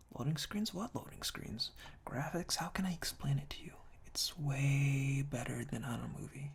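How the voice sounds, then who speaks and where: A soft-spoken man whispers. His tone is calm. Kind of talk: ASMR whispered reading of humorous product reviews. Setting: binaural ear-to-ear microphone recording. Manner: whispered, soft-spoken, calm.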